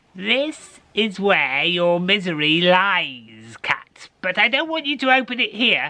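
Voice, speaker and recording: In a put-on character voice pitched high for a man, he speaks at a fairly slow pace with hardly any pauses and very wide pitch swings. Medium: read story.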